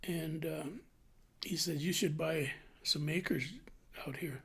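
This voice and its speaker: A man speaks at a fairly slow pace with a fairly high pitch and vocal fry. His intonation stays fairly even. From New Mexico (Clayton, then Albuquerque). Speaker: retired butcher, interviewee. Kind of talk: oral history interview.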